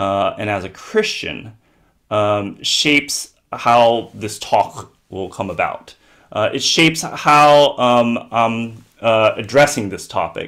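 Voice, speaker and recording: In an American accent, a man talks at a very slow pace. His pitch is medium, with ordinary variation. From US, Southern California. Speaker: theology professor. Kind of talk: lecture. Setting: video call. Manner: halting, many fillers.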